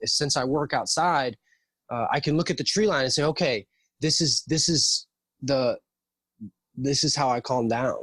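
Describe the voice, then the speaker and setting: This man talks at a moderate pace with a fairly high pitch, ordinary pitch variation, very even loudness and long, frequent pauses, in a dry, close sound with no echo. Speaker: tradesman and jiu-jitsu practitioner. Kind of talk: casual chat. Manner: soft-spoken.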